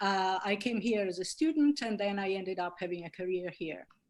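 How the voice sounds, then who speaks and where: A woman speaks with an Italian accent. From Italy. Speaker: linguistics professor. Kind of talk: webinar talk.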